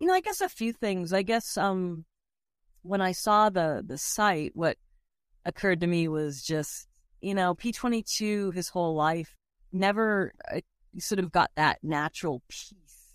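In a very clean, dry, close recording with no echo and a silent background, a woman with an American accent speaks in an unremarkable speaking voice at medium pitch and a fairly slow pace, with ordinary pitch variation. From Boston. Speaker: conservationist. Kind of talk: interview.

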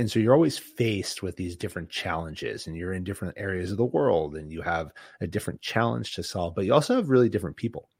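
This is an unremarkable speaking voice with an American accent and lively intonation. The recording is very clean, with a silent background. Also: man. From Boston, New England. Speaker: former special forces officer, business leader. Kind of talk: interview.

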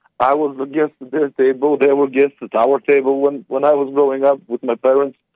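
A man's fairly high voice with a non-native accent, moving at a fairly quick pace. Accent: foreign. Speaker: caller. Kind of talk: phone-in history explanation. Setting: phone call.

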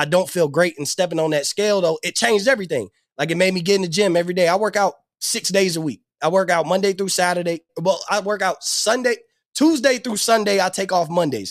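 A man with a high voice talks very fast in an animated tone, with ordinary pitch variation. The recording is very clean and dry, close, with a silent background and no echo. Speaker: podcast host. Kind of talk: casual interview chat. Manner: animated, slangy.

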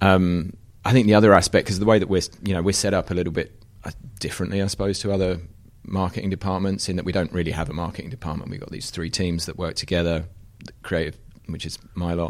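Fairly even intonation with an American accent. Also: man. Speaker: creative director at outdoor clothing company. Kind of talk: casual chat.

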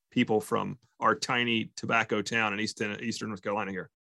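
A man with an American accent talks at a fairly quick pace and a medium pitch. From US South. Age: 40s. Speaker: community relations manager at a sporting goods store. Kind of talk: casual interview. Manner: halting, many fillers.

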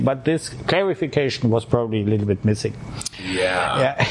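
A man delivers his words at a fairly quick pace with lively intonation while noticeable background noise plays behind him. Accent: German. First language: German. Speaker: diplomat. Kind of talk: interview. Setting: drinking beer during interview.

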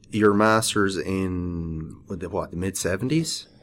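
An Irish accent at a very slow pace. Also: man. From Ireland. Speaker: podcast host, structural engineer. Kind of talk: interview; scripted intro.

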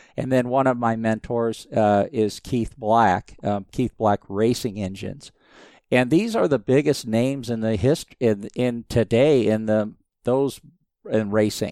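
A man with an American accent speaks at a fairly slow pace and a medium pitch. His tone is dark and mellow, and his intonation fairly even. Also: dry, close sound with no echo, very clean recording, silent background. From US Southwest, Phoenix, Arizona. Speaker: motorsport engineer and business owner. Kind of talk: interview.

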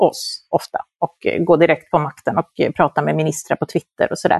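A woman's fairly low voice with vocal fry, at a moderate pace, in a dry, close sound with no echo. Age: 50s. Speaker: journalist and moderator. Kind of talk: interview.

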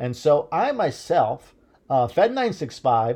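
The voice has a Midwestern American accent and a dark, mellow tone. Its pitch swings very widely. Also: man. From US Midwest. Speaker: solo podcaster. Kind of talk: casual monologue. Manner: halting, many fillers.

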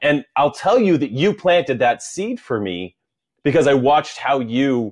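A man with an unremarkable speaking voice and a medium pitch uses lively intonation over a quiet background. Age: 40s. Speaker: podcast host and masters CrossFit athlete. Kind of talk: casual interview chat. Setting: video call.

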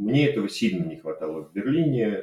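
A man's dark, mellow voice with very wide pitch swings. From Russia, Saint Petersburg. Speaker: software developer. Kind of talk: unscripted personal monologue. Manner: hesitant, many fillers. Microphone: cheap microphone.

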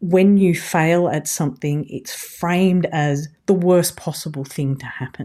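In a very clean recording with a silent background, a woman talks with an Australian accent. Her fairly low voice has a dark, mellow tone and fairly even intonation. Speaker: podcast host. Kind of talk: casual interview conversation.

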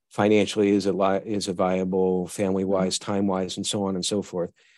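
This man has an ordinary speaking voice, pitched fairly low. He talks at a fairly quick pace against a quiet background. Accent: American. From US Northeast, western New York (Buffalo). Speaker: virtual chief information security officer. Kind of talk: interview.

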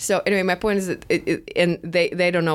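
A woman's fairly low-pitched voice with fairly even intonation amid noticeable background noise. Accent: Russian. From Moscow, Russia. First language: Russian. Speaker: co-host. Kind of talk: casual conversation.

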